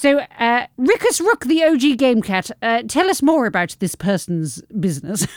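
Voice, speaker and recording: A woman with a British accent speaks in a high voice at a fairly slow pace with hardly any pauses. Her pitch swings very widely. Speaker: podcast co-host. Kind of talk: casual chat. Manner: animated.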